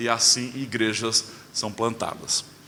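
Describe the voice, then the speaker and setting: This man's voice comes with audible echo from the room. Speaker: pastor. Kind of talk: sermon. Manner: hesitant fillers.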